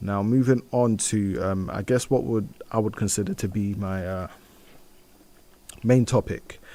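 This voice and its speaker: Speaking with a British accent, a man talks at a fairly slow pace with long, frequent pauses. His pitch is fairly low and his tone dark and mellow. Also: fairly even intonation. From UK, Nigerian heritage. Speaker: community radio host. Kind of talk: solo radio show, news and music chat. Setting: radio studio. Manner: casual, many fillers and restarts.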